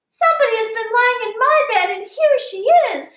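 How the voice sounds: In a put-on character voice, a woman squeaks at an extremely high pitch and a moderate pace, with slight echo.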